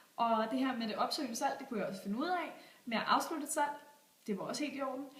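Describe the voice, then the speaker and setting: A woman speaks at a very fast pace with a high pitch and ordinary pitch variation. Noticeable background noise and audible room echo are present. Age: 20s. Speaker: job applicant, store manager. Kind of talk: video job application pitch. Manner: enthusiastic, persuasive.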